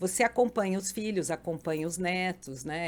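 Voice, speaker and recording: A woman's fairly low voice with lively intonation at a moderate pace. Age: 60s. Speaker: podcast guest, mother and grandmother. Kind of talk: casual interview chat. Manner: animated.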